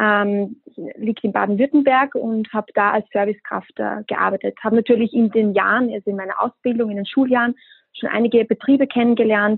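Here a woman with an unremarkable speaking voice talks at a fairly quick pace. Her pitch is fairly high and her intonation fairly even. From Austria. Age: 20s. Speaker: hospitality brand ambassador. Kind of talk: podcast interview.

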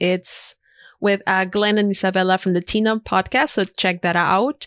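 A woman with a Spanish accent, on a very clean recording against a silent background. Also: dry, close sound with no echo. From Ecuador. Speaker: freelance designer and podcaster. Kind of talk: casual interview conversation.

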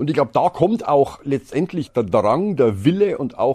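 Speaking with a Bavarian accent, a man uses a dark, mellow tone and very wide pitch swings at a moderate pace over a quiet background. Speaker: storage product manager. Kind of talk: casual chat.

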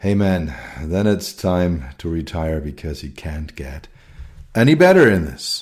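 Speaking at a moderate pace with a German accent, a man uses a very deep, low voice. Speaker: podcast host and technology consultant. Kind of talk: solo podcast monologue. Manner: hesitant with many fillers.

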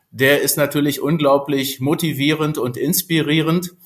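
A man talks at a very slow pace. His voice is fairly high with fairly even intonation. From Berlin (Spandau). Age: 50s. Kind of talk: interview.

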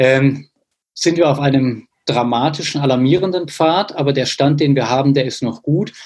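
Somewhat breathy and fairly high-pitched, this man talks at a moderate pace with fairly even intonation. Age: 30s. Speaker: mayor. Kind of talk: interview.

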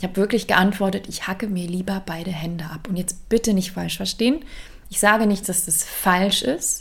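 Speaking at a moderate pace, a woman uses a medium pitch with ordinary pitch variation and big swings in loudness. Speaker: career coach. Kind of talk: solo podcast monologue. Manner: conversational, energetic.

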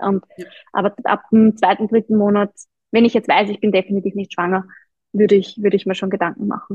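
A woman's somewhat breathy, medium-pitched voice in a flat monotone, with long, frequent pauses. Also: fairly quick pace. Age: 30s. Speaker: running coach and personal trainer. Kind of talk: interview.

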